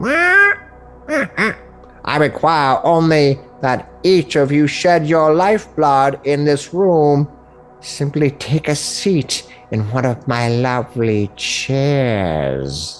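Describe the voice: A man puts on a character voice, cackling at a fairly high pitch. He speaks at a very slow pace, with faint music in the background.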